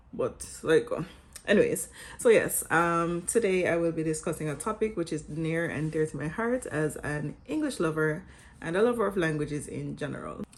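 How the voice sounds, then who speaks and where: With a Jamaican accent, a woman speaks at a moderate pace. Her pitch is fairly low, with ordinary variation. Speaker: vlogger and English teacher. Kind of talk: scripted vlog talk.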